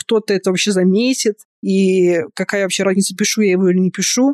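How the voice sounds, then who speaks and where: A woman with a normal speaking voice talks at a fairly quick pace, her intonation fairly even, in a dry, close sound with no echo. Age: 30s. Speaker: podcast host and fan fiction writer. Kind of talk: casual interview chat.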